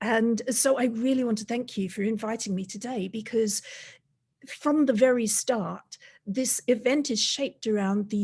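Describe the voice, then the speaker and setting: A woman speaks at a moderate pace with a fairly high pitch and ordinary pitch variation. Her voice is somewhat breathy. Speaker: robotics industry leader. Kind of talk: webinar talk. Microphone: laptop.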